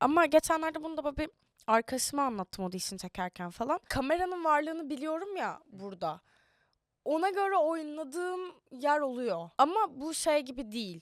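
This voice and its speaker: A woman's high-pitched voice, with very wide pitch swings, sounds dry and close with no echo. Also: moderate pace. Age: young. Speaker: actress. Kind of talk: casual interview chat. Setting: studio.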